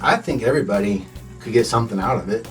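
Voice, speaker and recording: A man speaks fairly quickly with an American accent. Music plays in the background. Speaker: songwriter. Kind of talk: radio interview answer. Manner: laid-back.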